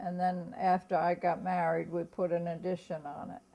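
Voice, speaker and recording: This woman has an American accent and a medium pitch. Her tone is dark and mellow. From Germantown, US. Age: 90s. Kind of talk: oral history interview. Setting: at home. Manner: halting.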